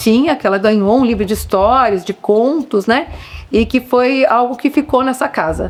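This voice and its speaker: A woman at a fairly high pitch with lively intonation and a moderate pace, over noticeable background noise. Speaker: local resident interviewee. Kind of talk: documentary interview testimony.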